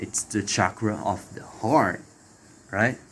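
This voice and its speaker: A man with a non-native accent in a very clean recording with a silent background. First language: not English. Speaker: spiritual video creator. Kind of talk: spiritual talk to camera. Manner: halting with fillers.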